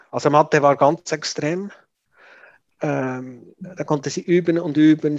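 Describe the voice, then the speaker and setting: A man speaks at a fairly slow pace against a quiet background. The sound is dry and close, with no echo. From Switzerland. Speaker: parent of a gifted child. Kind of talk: interview. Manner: halting, many fillers.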